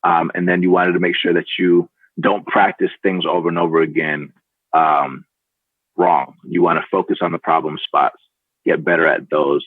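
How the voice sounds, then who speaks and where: A man talks at a moderate pace. His loudness stays very even. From Atlanta, US South. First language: Spanish. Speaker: startup founder and CEO. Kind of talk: podcast interview.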